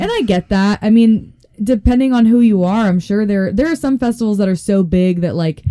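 With an American accent, a woman uses an ordinary speaking voice at a fairly quick pace with lively intonation. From Colorado. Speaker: stand-up comedian. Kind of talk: casual chat.

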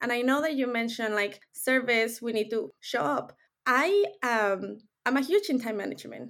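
A woman with a high voice and a Mexican accent talks at a moderate pace with lively intonation. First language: Spanish. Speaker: life coach. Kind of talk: interview. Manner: blunt.

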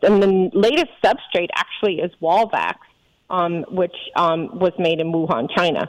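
A woman talks at a fairly slow pace in a normal speaking voice, fairly low in pitch with ordinary variation. The recording is dry and close, with no echo. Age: 50s. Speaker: physician. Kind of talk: interview.

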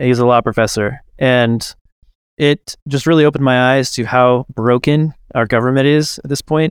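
With an unremarkable speaking voice, a man talks at a medium pitch and moderate pace, his intonation fairly even and the sound dry and close with no echo. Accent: American. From Kansas, US. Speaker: bitcoin company co-founder and podcaster. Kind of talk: casual interview chat.

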